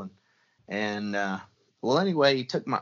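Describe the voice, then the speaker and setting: A man speaks in a normal speaking voice with an American accent. His pitch is medium and his pace moderate. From US Midwest, Southwest Missouri. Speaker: predator hunting call designer and video host. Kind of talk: casual chat.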